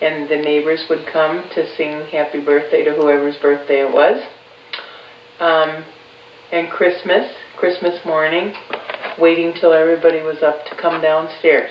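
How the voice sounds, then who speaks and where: Delivered in a monotone, flat intonation at a fairly slow pace with long, frequent pauses, the speech has audible room echo and noticeable background noise. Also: woman, very deep, low pitch for a woman. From Chicago, north side. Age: 50s. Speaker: interviewer's mother. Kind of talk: family oral history interview.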